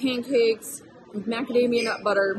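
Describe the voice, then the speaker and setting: Music plays behind a woman whose pitch moves in an ordinary way as she talks. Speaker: food reviewer. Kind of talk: casual vlog chat. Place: cafe.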